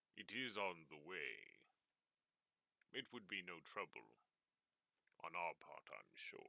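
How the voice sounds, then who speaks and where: In a put-on character voice, the speaker goes at a fairly slow pace with long, frequent pauses, in a dry, close sound with no echo. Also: man, very deep, low pitch for a man. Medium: actual play. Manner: formal, courteous.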